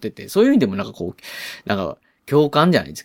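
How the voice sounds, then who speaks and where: A man with a medium pitch talks at a fairly quick pace, the sound dry and close with no echo. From Osaka, Japan. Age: 40s. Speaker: podcast host. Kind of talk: solo movie review talk. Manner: casual, filler-heavy.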